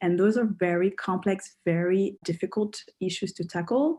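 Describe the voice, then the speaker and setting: A woman speaks with a dark, mellow tone and fairly low pitch. Her intonation stays fairly even against a quiet background. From France. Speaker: graduate student, international perspective. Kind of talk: panel discussion. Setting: video call.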